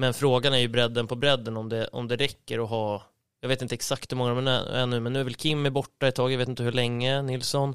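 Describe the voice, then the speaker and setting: A man talks very fast at a medium pitch with flat, monotone intonation. The recording is very clean, with a silent background. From Sweden, Uppland (Storvreta). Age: 30s. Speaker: floorball club manager. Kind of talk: casual chat.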